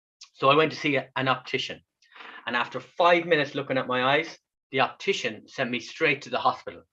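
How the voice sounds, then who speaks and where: A man's fairly high, bright, sharp voice with an Irish accent, very fast pace and ordinary pitch variation. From west of Ireland. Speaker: kidney patient and speaker. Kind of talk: online talk.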